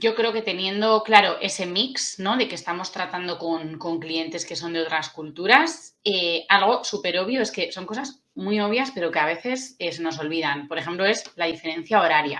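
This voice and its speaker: A woman with a Basque accent speaks at a moderate pace with hardly any pauses. Her pitch is medium, with ordinary variation. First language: Basque (speaking Spanish). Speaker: tourism UX consultant. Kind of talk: interview. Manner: casual.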